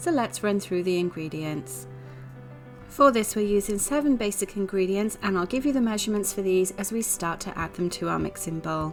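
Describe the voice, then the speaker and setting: A woman's fairly quick speech with lively intonation, music playing in the background. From Wales. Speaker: home baker. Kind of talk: cooking tutorial narration. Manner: casual, friendly.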